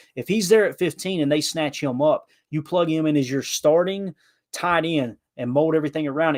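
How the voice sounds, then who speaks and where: On a very clean recording with a silent background and a dry, close sound with no echo, a man with a Southern US accent speaks at a fairly quick pace and a fairly high pitch in an animated tone. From Kentucky. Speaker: podcast guest, football commentator. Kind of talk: casual podcast chat.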